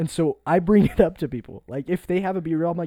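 A man's dark, mellow voice, high-pitched and fairly quick, in a dry, close sound with no echo. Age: 20s. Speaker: podcast co-host. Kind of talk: casual chat. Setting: music production studio.

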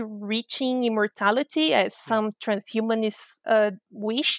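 A woman with a Portuguese accent speaks at a fairly high pitch in a very clean recording with a silent background and a dry, close sound with no echo. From Brazil. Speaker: futures researcher and professor. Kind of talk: interview.

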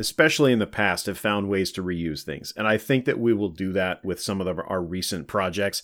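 A man talks with lively intonation. The recording is very clean, with a silent background. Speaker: soccer supporter group vice president. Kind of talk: casual podcast interview. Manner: talkative, long-winded.

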